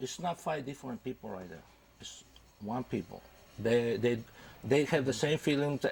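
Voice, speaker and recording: A medium-pitched man with a Spanish accent. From Mexico. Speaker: father of band members. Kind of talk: TV interview. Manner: halting.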